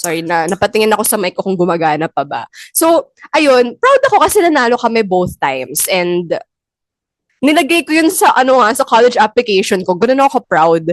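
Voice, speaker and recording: A woman talks at a fairly quick pace and fairly high pitch with very wide pitch swings, the sound dry and close with no echo. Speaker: podcast host. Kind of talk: casual chat.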